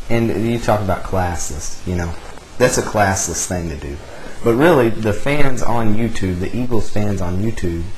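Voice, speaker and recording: Over noticeable background noise and audible room echo, a man with a Texan accent and a fairly low pitch speaks at a moderate pace with ordinary pitch variation. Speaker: sports fan vlogger. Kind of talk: fan rant vlog. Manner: animated.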